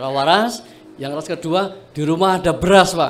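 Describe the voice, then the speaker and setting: A man speaks with a Javanese accent. Noticeable background noise and audible room echo come through. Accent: Javanese-tinged Indonesian. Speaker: farming training participant. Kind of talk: self-introduction speech to a group.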